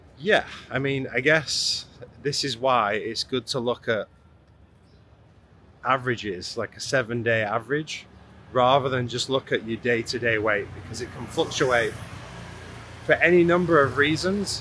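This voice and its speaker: Amid light background noise, a man talks at a moderate pace with ordinary pitch variation and long, frequent pauses, the sound dry with no echo. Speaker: fitness vlogger. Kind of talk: casual vlog chat. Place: street. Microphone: phone near.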